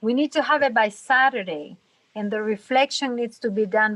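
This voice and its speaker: A woman speaks at a fairly high pitch with ordinary pitch variation and a bright, sharp tone. The sound is dry and close, with no echo. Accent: non-native. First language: not English. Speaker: student. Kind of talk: casual group meeting.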